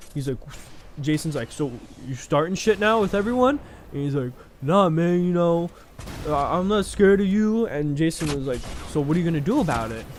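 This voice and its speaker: A man speaks at a fairly quick pace in a high pitch with lively intonation and long, frequent pauses. Noticeable background noise runs underneath. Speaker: youtuber telling personal stories. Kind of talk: casual storytelling. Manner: halting, stuttering a bit; casual, filler-heavy.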